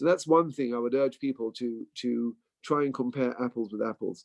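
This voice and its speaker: A man with an English accent, fairly quick, in a dry, close sound with no echo. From England. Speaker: bank employee. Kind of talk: informational talk.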